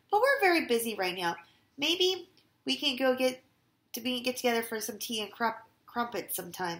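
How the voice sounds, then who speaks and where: Putting on a character voice, a woman speaks high and hoarse at a moderate pace, her pitch swinging very widely between long, frequent pauses. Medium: read story. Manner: smooth and comforting in his borrowed voice.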